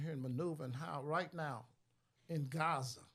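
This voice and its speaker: A man speaks in a fairly high, somewhat breathy voice with ordinary pitch variation. The recording is very clean, with a silent background. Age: 70s. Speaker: activist and radio host guest. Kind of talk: heated talk show discussion. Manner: animated.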